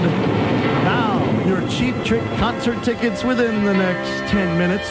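Speech comes at a very slow pace. Loud music plays in the background. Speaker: radio DJ. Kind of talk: radio DJ banter. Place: studio. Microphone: old recording.

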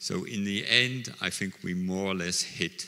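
The pace is very slow. The tone comes across bright and sharp. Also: man. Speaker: conference presenter. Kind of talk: conference talk. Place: hall. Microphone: handheld.

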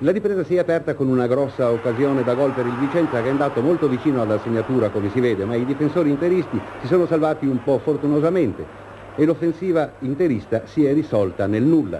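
A man's fairly high voice at a very fast pace, very even in loudness, with ordinary pitch variation over noticeable background noise. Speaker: sports reporter, match commentator. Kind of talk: 1970s sports newsreel, live match commentary over footage. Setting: stadium link-up, remote. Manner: brisk, earnest, crisp play-by-play.

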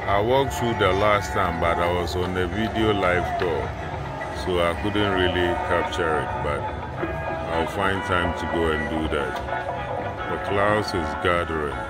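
With music in the background, a man speaks at a fairly slow pace with ordinary pitch variation and long, frequent pauses. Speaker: vlogger filming the view. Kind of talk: casual vlog narration. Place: street. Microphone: phone near.

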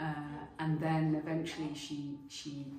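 A woman's very deep, low voice, monotone and flat, at a very slow pace over noticeable background noise. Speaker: theatre maker. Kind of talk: interview answer.

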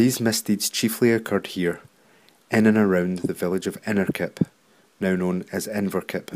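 This man talks at a moderate pace in a fairly low voice, his intonation monotone and flat. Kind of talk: documentary narration.

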